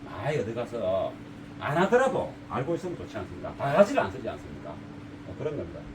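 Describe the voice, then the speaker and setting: Over noticeable background noise, a man talks very fast in a strong Gyeongsang accent. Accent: thick Gyeongsang dialect. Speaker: car audio installer, shop owner. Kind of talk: casual talk to camera. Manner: unpolished, plain-spoken; halting, stammers.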